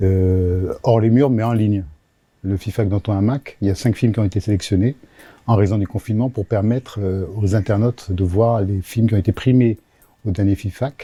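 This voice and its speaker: A man with a fairly low pitch and a dark, mellow tone speaks in a somewhat breathy voice with fairly even intonation. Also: moderate pace. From Africa (Senegal, Gabon, Cameroon, Madagascar). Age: 60s. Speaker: regional TV network director. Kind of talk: interview. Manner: hesitant with frequent fillers.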